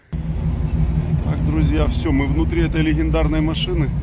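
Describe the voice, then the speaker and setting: Over music in the background, a man speaks at a very slow pace with ordinary pitch variation, in a dry sound with no echo. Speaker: off-road vlogger riding as passenger. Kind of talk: casual vlog chat. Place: car. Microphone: phone near.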